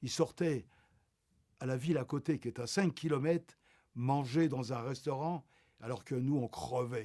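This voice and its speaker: Medium in pitch with a dark, mellow tone, a man speaks at a fairly slow pace with ordinary pitch variation. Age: 80s+. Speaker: Holocaust survivor. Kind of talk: interview testimony. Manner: halting, many repetitions.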